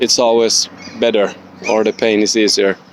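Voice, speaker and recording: A man's fairly low voice at a fairly slow pace, over noticeable background noise. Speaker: student. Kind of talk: spoken book report. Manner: halting, many fillers.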